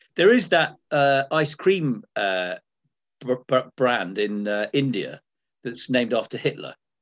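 Speaking at a fairly slow pace, a man with an English accent uses lively intonation at a medium pitch. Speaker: comedian and podcast co-host. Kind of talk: casual chat; formal presentation to council. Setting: video call.

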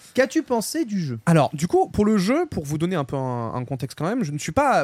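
A man at a fairly quick pace with very wide pitch swings, in a dry, close sound with no echo. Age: 20s. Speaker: gaming podcast co-host. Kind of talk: casual chat.

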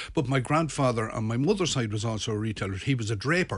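Somewhat breathy and at a medium pitch, a man with a Limerick accent talks at a very fast pace. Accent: Irish (Limerick). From Ireland, Midlands then Limerick. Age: 60s. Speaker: shopping centre manager. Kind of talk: radio interview. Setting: radio studio.

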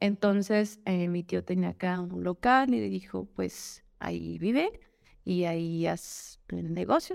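This woman speaks at a fairly slow pace on a very clean recording with a silent background. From Guadalajara, Jalisco, Mexico. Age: 30s. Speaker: influencer and lactation consultant. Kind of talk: casual chat. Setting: podcast studio, video recording.

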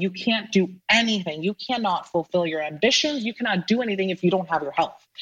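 A woman speaks with an American accent and ordinary pitch variation. Her voice is somewhat breathy. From US, Palo Alto, California. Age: 20s. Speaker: ed tech entrepreneur. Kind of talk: casual interview.

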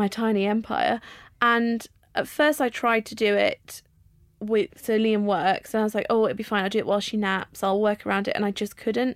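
A fairly high-pitched woman with an English accent, moderate pace and fairly even intonation, on a very clean recording with a silent background. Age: 30s. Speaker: vlogger and author. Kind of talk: casual chat.

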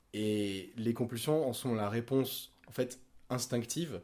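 On a very clean recording with a silent background, a man talks in a normal speaking voice at medium pitch, fairly slow pace and ordinary pitch variation. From Monaco, southern France. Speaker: podcast guest sharing OCD experience. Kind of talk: personal testimony in casual conversation.

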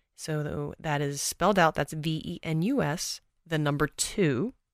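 On a very clean recording with a silent background and a dry, close sound with no echo, a woman with an American accent speaks very slowly in a very deep, low pitch with vocal fry and ordinary pitch variation. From Texas. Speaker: movement coach. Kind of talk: casual interview conversation.

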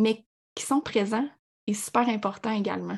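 A woman speaks fairly slowly with a fairly high pitch. Her voice is somewhat breathy and her intonation fairly even. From Quebec, Abitibi. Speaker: sports nutritionist. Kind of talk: podcast interview.

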